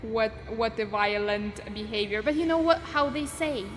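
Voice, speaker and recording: A woman with a non-native accent speaks at a fairly slow pace. Her fairly high voice has lively intonation. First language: not English. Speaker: streamer. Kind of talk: reading aloud viewer confessions on livestream. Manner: animated.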